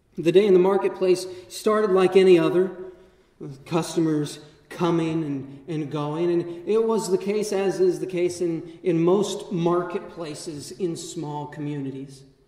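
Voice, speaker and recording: At a fairly slow pace, a man with a high pitch and fairly even intonation talks in a room with audible echo. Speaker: vicar preaching. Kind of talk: sermon. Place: church. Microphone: camera far.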